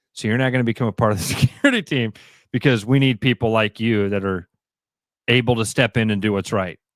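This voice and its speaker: Talking at a very fast pace yet with long, frequent pauses, a man with a Midwestern US accent is heard in a dry, close sound with no echo. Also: very clean recording, silent background. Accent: US Midwest. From Iowa, Des Moines. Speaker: sports radio host. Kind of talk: casual chat.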